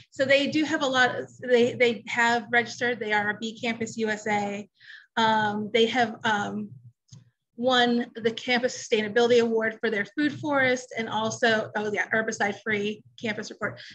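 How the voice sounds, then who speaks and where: A woman with a plain, everyday voice talks at a moderate pace and a fairly high pitch, her intonation fairly even. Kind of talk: casual chat.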